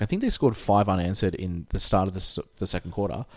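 A man with an Australian accent, fairly low-pitched and very fast, recorded dry and close with no echo. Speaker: podcast host. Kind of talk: casual chat. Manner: consciously lowered cadence.

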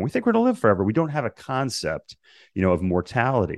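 A man's very fast speech with vocal fry and very wide pitch swings, dry and close with no echo, over a quiet background. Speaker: podcast host. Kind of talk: interview conversation.

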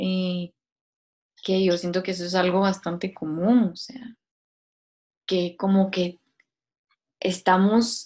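This woman has a medium pitch and fairly even intonation. She talks at a very slow pace, with long, frequent pauses. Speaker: podcast co-host. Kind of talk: casual philosophical chat.

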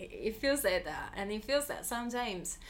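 A woman speaks with an Italian accent. Her pitch varies in an ordinary way. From southern Italy, Molise. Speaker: creative producer. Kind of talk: casual interview. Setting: in person recording.

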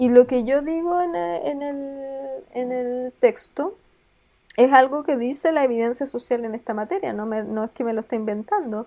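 A woman with a high pitch and a dark, mellow tone speaks with lively intonation and big swings in loudness. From southern Chile, small town. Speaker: law academic. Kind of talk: interview. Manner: halting, many repetitions.

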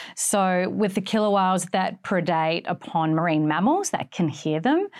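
With an Australian accent, a woman speaks in a fairly low voice with ordinary pitch variation. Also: quiet background. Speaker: marine biologist. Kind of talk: interview. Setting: studio.

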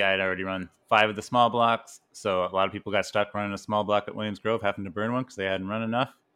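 In a Canadian accent, a man speaks very fast at a fairly low pitch with monotone, flat intonation over a quiet background. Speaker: podcast co-host. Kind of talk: casual chat.

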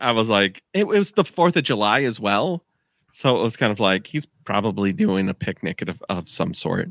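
The pitch swings very widely throughout. The recording is very clean and dry, with a silent background and a close sound with no echo. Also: man, medium pitch for a man, moderate pace. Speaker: podcast host. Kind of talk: casual chat.

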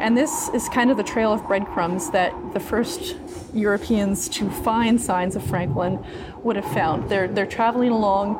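Lively intonation comes through amid audible room echo and noticeable background noise. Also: woman, fairly high pitch for a woman, fairly slow pace. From Newfoundland. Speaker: museum curator and archaeologist. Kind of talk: interview. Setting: museum exhibit hall.

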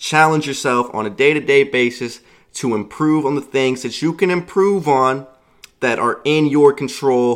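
Moderate pace, ordinary pitch variation and a plain, everyday voice from a man. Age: 20s. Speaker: podcast host. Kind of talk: solo motivational monologue.

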